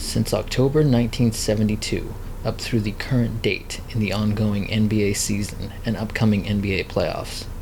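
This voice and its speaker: A man's fairly low voice at a moderate pace, with fairly even intonation and noticeable background noise. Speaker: video essayist / commentator on NBA broadcasting. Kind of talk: documentary-style narration.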